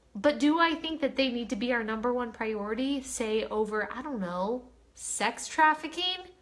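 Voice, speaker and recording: Animated in tone, a woman speaks in a high voice. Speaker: live streamer. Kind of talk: casual chat.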